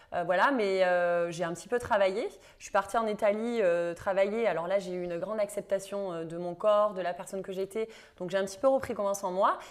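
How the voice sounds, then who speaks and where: In a southern French accent, a woman speaks at a fairly quick pace with a medium pitch, fairly even intonation and big swings in loudness. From southern France. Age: 30s. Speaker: yoga teacher and women's coach, former TV presenter. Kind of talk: interview. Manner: hesitant, many fillers.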